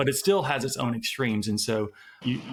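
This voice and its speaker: The speaker is a man at a medium pitch. Noticeable background noise can be heard too. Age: 50s. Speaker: podcast host. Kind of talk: interview.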